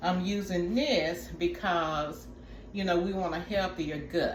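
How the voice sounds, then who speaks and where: A woman speaks very slowly at a fairly low pitch with ordinary pitch variation. Audible room echo and noticeable background noise surround her voice. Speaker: wellness vlogger. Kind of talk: tutorial. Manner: casual, chatty.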